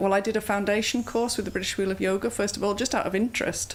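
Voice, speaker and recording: In a Yorkshire accent, a woman talks with vocal fry and fairly even intonation. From Bradford, England. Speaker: yoga instructor. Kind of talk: interview answer.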